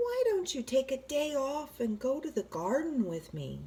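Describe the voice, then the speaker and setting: A put-on character voice, female-sounding and high-pitched for a woman, at a moderate pace. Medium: read story. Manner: easygoing, gentle.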